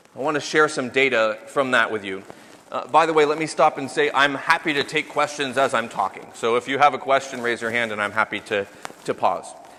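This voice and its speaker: A man with an American accent, ordinary pitch variation, and noticeable background noise. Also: medium pitch for a man, fairly quick pace. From United States. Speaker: company founder and CEO giving a business talk. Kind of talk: business presentation.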